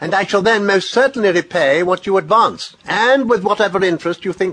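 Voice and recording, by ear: Ordinary pitch variation runs through this clip of reading aloud in a natural voice.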